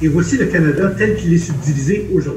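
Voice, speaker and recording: Amid noticeable background noise and audible room echo, a man with a Quebec accent speaks with lively intonation. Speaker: anesthesiologist and medical historian. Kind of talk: lecture. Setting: video conference.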